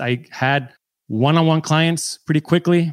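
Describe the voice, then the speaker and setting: A man with an American accent and a normal speaking voice talks at a moderate pace. The sound is dry and close, with no echo. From San Diego, US. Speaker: film and TV editor, mentor. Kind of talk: coaching call conversation.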